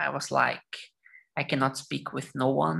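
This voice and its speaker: A woman speaks in a Portuguese accent with a bright, sharp tone. Vocal fry runs through her voice. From Brazil, São Paulo state. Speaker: lawyer. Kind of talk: casual chat.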